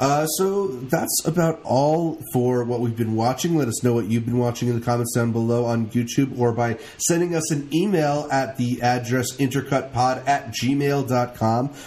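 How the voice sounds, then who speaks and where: A man with an ordinary speaking voice, medium pitch and ordinary pitch variation, at very even loudness and with hardly any pauses. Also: moderate pace. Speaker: podcast co-host. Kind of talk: casual podcast banter.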